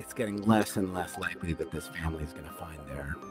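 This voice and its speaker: Over music in the background, a man with a very deep, low voice talks at a moderate pace with ordinary pitch variation. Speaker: voice-over artist, true crime narrator. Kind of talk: casual podcast interview answer. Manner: conversational, emotional when recalling a sad story.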